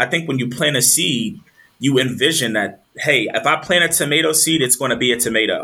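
Here a man with an American accent talks at a fairly quick pace. His pitch is medium, with ordinary variation. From US, military family (Texas, Maryland, Virginia, Delaware). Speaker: agriculture leader and doctoral student. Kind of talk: interview. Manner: animated.

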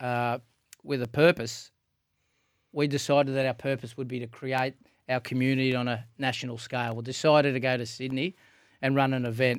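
A man with an Australian accent talks fairly quickly at medium pitch, in a flat monotone. Long, frequent pauses break up his speech on a very clean recording with a silent background. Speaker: podcast host. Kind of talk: casual chat.

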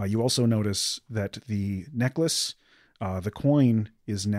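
A natural voice, reading aloud.

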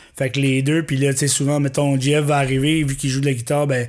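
Delivery is fairly quick, in monotone, flat intonation. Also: man. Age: 40s. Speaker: musician. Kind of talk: casual chat.

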